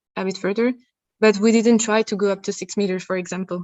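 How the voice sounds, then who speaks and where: A woman talks at a fairly high pitch with monotone, flat intonation. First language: not English. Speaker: researcher presenting at a conference. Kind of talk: conference Q&A answer. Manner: halting, many repeated words.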